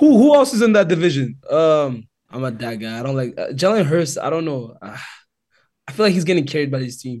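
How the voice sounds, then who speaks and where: Fairly high in pitch and somewhat breathy, a man speaks at a fairly quick pace with lively intonation and big swings in loudness. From Calgary, Alberta, Canada. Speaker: former football player. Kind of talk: casual chat.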